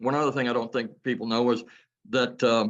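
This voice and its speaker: A man speaks in a medium pitch at a fairly quick pace. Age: 60s. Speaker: business owner giving testimonial. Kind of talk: testimony.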